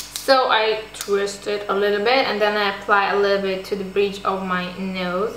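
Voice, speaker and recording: A woman's monotone, flat voice at a moderate pace, with audible room echo and noticeable background noise. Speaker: beauty vlogger. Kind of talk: tutorial.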